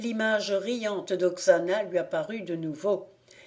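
Pitch moves in an ordinary way through this plain reading aloud.

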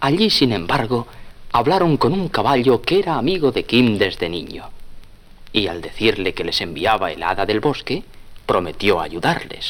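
A man speaks with lively intonation and a fairly low pitch. His tone is fairly bright. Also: moderate pace.

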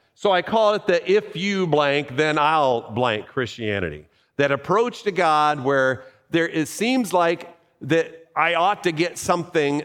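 With lively intonation and very even loudness, a man with an unremarkable speaking voice talks at a fairly slow pace and fairly high pitch. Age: 50s. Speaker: pastor. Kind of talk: sermon. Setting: church.

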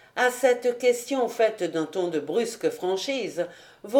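Lively intonation in an unforced reading voice

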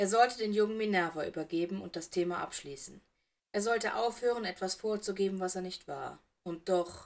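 Set against a quiet background, a natural reading voice carries ordinary pitch variation.

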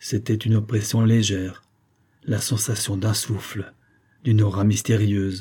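This is an unforced reading voice. The words are read out plainly.

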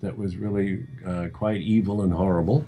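Fairly low in pitch and dark, mellow in tone, a man speaks at a fairly slow pace. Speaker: screenwriter. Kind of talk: interview. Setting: remote call.

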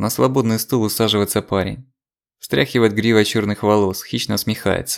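Over a quiet background, an unforced reading voice comes through.

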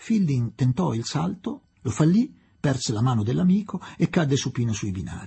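The speaker reads in an unforced reading voice.

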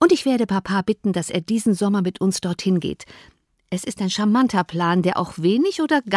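This is plain reading aloud against a quiet background.

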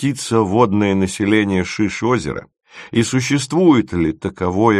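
The background is silent. The text is read aloud plainly.

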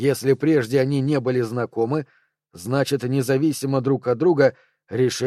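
Quiet background behind an unforced reading voice of fairly level intonation

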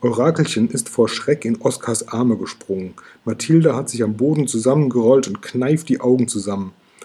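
The text is being read aloud in a natural voice.

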